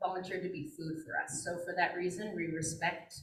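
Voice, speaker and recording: A woman speaks with an American accent and ordinary pitch variation. Room echo is audible. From Flathead Indian Reservation, Montana. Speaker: wildlife biologist. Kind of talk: presentation. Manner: casual with frequent fillers.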